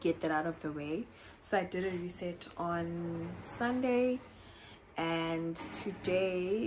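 A woman's fairly low voice at a very slow pace, with light background noise. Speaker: vlogger. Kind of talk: casual vlog chat. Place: home room. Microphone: phone near.

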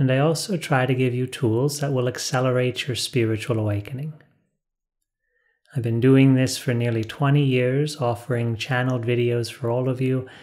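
A man's intonation stays fairly even, and the background is quiet. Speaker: spiritual teacher. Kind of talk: calm spiritual talk to camera. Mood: calm, warm, smiling. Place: studio.

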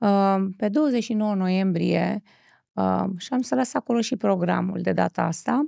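A woman speaks very slowly against a quiet background, the sound dry with no echo. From Romania. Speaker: talk show host. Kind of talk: interview. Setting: studio. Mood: warm, expressive. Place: studio. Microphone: studio mic.

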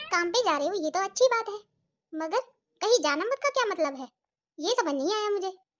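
A cartoonish character voice sounds female, with an extremely high pitch. It races along at a very fast pace, broken by long, frequent pauses. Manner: sarcastic, lively.

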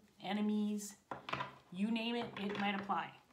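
A woman speaks at a moderate pace. Noticeable background noise runs under her voice. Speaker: tarot reader. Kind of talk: tarot reading intro, casual vlog chat. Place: home room. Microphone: phone near.

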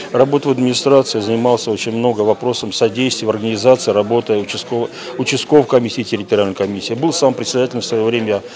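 Delivering his words at a very fast pace with fairly even intonation, a man speaks against noticeable background noise. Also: medium pitch for a man. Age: 60s. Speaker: former election official. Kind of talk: on-camera interview comment. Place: hall. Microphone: handheld.

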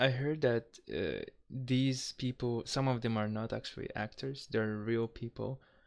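A man speaks with a Kazakh accent. The background is quiet. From Kazakhstan. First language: not English. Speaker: reaction youtuber. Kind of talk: casual talk to camera. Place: home room. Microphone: headset.

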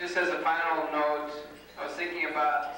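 A man talks at a moderate pace in a room with strong echo and light background noise. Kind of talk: wedding toast speech. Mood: warm, a bit nervous. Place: hall.

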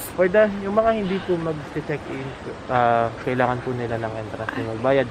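A man speaks at a moderate pace with a medium pitch and lively intonation. Noticeable background noise can be heard behind him. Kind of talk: playful mock tour-guide patter, casual comedic roleplay. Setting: outdoors at a resort, walking around the grounds. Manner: halting, with fillers ('uh', 'then') and bursts of laughter.

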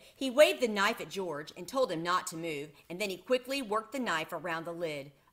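Lively intonation in a natural voice reading aloud.

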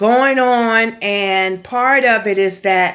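A woman talks very slowly with ordinary pitch variation, the background quiet. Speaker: spiritual vlogger. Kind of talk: casual spiritual vlog message. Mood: earnest, expressive. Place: home room. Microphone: phone near.

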